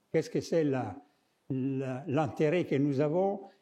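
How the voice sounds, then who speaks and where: With audible room echo, a man with a fairly high pitch and a dark, mellow tone speaks at a very slow pace with lively intonation. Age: 70s. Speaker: architect and artist, lecturer. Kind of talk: lecture. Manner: halting, with many hesitations.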